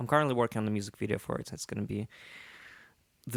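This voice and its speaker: A man speaks with a Russian accent. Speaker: musician. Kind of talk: interview.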